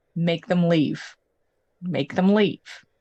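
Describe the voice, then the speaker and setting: A woman's put-on character voice, fairly low in pitch. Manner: repeating an eerie whisper.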